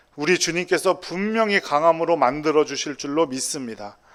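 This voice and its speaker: In a very clean recording with a silent background, a man with a fairly high pitch and an unremarkable speaking voice talks at a moderate pace with ordinary pitch variation. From South Korea, Busan then Incheon. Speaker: pastor. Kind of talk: sermon.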